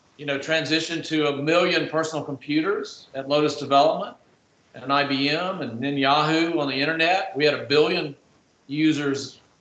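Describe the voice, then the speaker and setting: Noticeable background noise sits behind a man whose fairly high pitch stays monotone and flat. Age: 60s. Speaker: technology marketer, panelist. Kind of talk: panel discussion.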